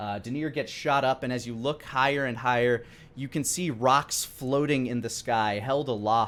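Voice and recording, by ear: A natural voice, reading aloud.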